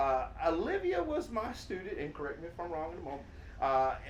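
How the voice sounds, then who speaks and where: A man talks at a moderate pace against noticeable background noise, with audible echo in the room. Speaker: teacher, interview host. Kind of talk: casual interview. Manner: loud.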